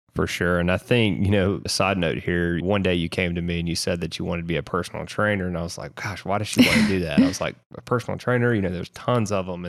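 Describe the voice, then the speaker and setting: Very deep and low in pitch, a man speaks at a very fast pace. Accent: strong Southern US. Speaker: co-host, producer and editor, husband of host. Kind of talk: casual conversational podcast.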